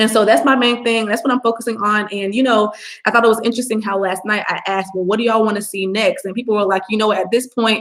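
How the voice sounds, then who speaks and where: A woman speaks at a fairly high pitch. She goes at a very fast pace with hardly any pauses. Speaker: online business coach, livestreamer; livestream host. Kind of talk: live stream Q&A, casual talk to viewers. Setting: live video stream. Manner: animated, casual with fillers. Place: home room. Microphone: webcam.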